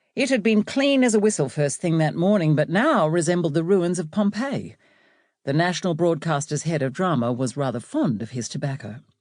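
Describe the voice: In a very clean recording with a silent background, a woman speaks at a moderate pace with a low pitch, lively intonation and a slightly mellow tone.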